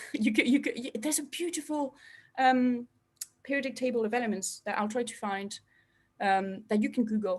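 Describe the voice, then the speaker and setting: A woman with a non-native accent and a high pitch talks at a moderate pace, with ordinary pitch variation and long, frequent pauses. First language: not English. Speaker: astrophysicist. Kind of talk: public science talk. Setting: online live stream. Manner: hesitant, many fillers.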